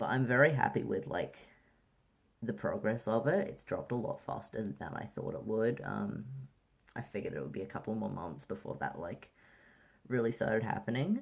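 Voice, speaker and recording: A man with vocal fry and very wide pitch swings talks at a moderate pace, leaving long, frequent pauses. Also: medium pitch for a man. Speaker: vlogger. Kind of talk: casual vlog. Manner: casual, many fillers.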